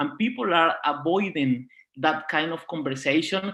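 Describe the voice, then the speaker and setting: Speaking at a fairly quick pace, a man with a Spanish accent has a fairly high pitch and ordinary pitch variation. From Venezuela. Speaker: diversity and inclusion project leader. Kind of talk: panel talk.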